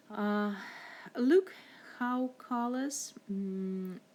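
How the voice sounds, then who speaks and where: A woman speaks with a non-native accent. Her medium pitch shows ordinary variation. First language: not English. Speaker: art teacher. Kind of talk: tutorial. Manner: halting, many fillers.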